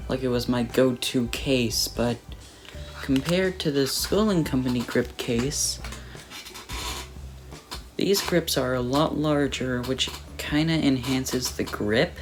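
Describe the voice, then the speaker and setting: The speech moves at a fairly slow pace with long, frequent pauses. Music plays in the background. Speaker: product reviewer. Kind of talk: casual product review talk. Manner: occasional stutter, repeats words.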